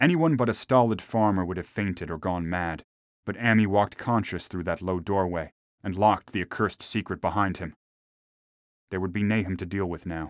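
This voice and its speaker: A man's very deep, low voice at a fairly quick pace with ordinary pitch variation, in a dry, close sound with no echo and a very clean, silent background. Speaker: audiobook narrator. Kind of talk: literary audiobook horror reading, scripted narration. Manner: formal, measured, archaic-toned storytelling.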